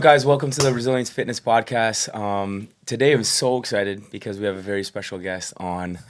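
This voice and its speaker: A normal speaking voice from a man, fairly low in pitch, at a fairly quick pace with hardly any pauses and ordinary pitch variation. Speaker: podcast host. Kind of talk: podcast hosting. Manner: upbeat.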